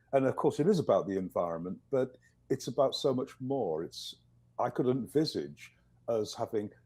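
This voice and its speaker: Lively intonation marks this man's dark, mellow voice. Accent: slight English. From northern England, East Yorkshire. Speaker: professor. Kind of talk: video interview. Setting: video call.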